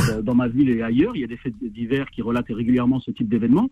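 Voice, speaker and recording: This man's voice has a dark, mellow tone. He talks at a very fast pace. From French suburbs. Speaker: association president. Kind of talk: phone interview.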